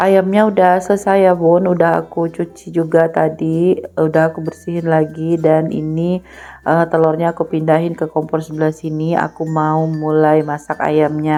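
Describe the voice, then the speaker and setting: The delivery runs on with hardly any pauses in a monotone, flat intonation. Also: woman, very deep, low pitch for a woman, moderate pace. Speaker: housewife vlogger. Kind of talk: vlog voiceover narration. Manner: casual, with many fillers.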